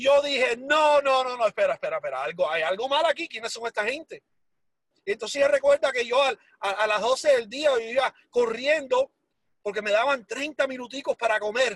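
A man's extremely high-pitched voice at a moderate pace, dry and close with no echo. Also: ordinary pitch variation. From Miami, Florida (Hialeah), Cuban-born. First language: English (speaking Spanish). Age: 40s. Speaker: entrepreneur telling life story. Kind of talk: motivational testimony.

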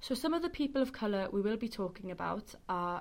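Quick-paced, a woman talks with a Welsh accent. The recording is very clean, the background silent. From West Wales, Carmarthen. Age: 20s. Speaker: student podcast host. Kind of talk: casual chat.

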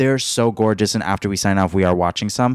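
A man with an American accent speaks in an animated tone at a fairly quick pace, his fairly low pitch moving with ordinary variation in a dry, close sound with no echo. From US, Mexican American. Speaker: podcast co-host. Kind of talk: casual chat. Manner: giggly, animated.

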